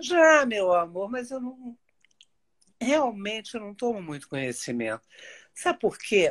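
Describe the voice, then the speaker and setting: A woman speaks at a fairly slow pace with a fairly high pitch, very wide pitch swings, and long, frequent pauses against a quiet background. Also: big swings in loudness. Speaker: TV personality. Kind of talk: casual chat.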